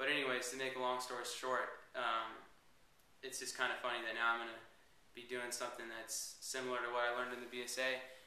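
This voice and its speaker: A man speaks at a medium pitch in a flat monotone. Noticeable background noise and audible room echo surround him. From Northern California (Petaluma). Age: 20s. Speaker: reality show applicant. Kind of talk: interview. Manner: hesitant, many fillers.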